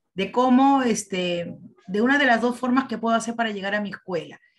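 Her pitch sits fairly high and varies an ordinary amount as the woman talks. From Peru. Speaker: teacher participant. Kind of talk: presentation. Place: home room. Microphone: video call.

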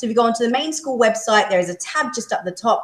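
With lively intonation, a woman speaks amid audible room echo. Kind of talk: school assembly address. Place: hall. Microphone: camera far.

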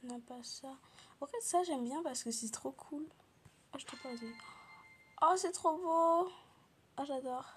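Speech at a fairly slow pace, broken by long, frequent pauses, plays over music in the background. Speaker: gaming youtuber. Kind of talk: casual gameplay commentary. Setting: home recording.

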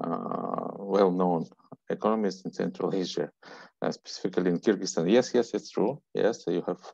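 Against a quiet background, a man speaks at a moderate pace, the sound dry with no echo. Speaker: session moderator. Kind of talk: introducing conference speakers. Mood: friendly, light laughter. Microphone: earbuds.

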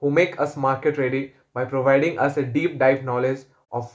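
Over a quiet background, a man is talking. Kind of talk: testimonial. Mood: positive, grateful. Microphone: phone near.

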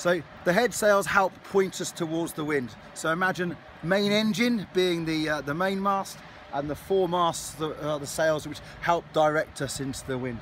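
Dry, with no echo and light background noise, a man's high-pitched voice moves at a moderate pace with ordinary pitch variation. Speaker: ship crew guide. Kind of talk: guided tour talk. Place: boat. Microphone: phone near.

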